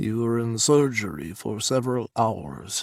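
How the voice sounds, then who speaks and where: Here a man puts on a character voice at a medium pitch. His intonation is lively. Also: dry, close sound with no echo. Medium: read story. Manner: formal, no contractions.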